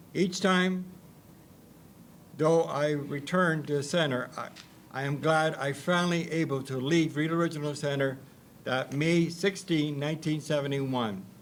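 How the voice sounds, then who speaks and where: With a Canadian accent, a man with a fairly high pitch speaks in fairly even intonation, with audible room echo. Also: moderate pace. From Ontario, Canada. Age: 60s. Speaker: institution survivor and artist. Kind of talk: reading aloud a personal testimony. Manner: halting, repeating words.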